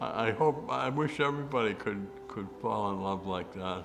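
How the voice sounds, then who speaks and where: With music in the background, the voice moves at a very slow pace with lively intonation. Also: man. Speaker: retired medical professional. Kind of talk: interview answer. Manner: halting, repeats words.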